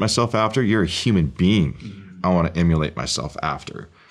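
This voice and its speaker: A man with an American accent has an ordinary speaking voice. He moves at a fairly quick pace with lively intonation. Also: very clean recording, silent background. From Oregon. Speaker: real estate investor and former military pilot. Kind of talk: interview.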